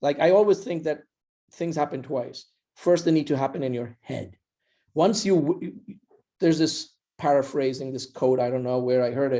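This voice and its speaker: With a non-native accent and a dark, mellow tone, a man at a fairly high pitch speaks at a moderate pace with ordinary pitch variation and long, frequent pauses. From India. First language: not English. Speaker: startup founder. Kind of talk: podcast interview.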